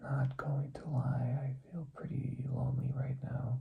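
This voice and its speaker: Using a monotone, flat intonation, a man with an American accent speaks at a medium pitch. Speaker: vlogger. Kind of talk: personal vlog monologue. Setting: home recording at night. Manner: quieter than usual; hesitant, many fillers.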